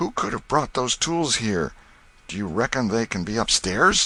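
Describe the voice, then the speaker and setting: A man uses a raspy, put-on character voice at medium pitch. His pitch swings very widely at a moderate pace. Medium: read story. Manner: gruff, rough vernacular.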